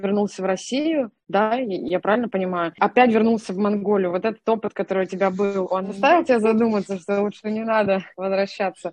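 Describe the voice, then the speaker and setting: Using a normal speaking voice, a woman talks at a medium pitch with ordinary pitch variation. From Russia, Nalchik (Kabardino-Balkaria). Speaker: podcast co-host, digital manager. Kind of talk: interview.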